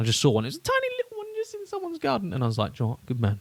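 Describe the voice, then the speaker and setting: A somewhat breathy voice in a British accent, very fast, with lively intonation. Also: man. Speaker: podcast co-host. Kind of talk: casual chat.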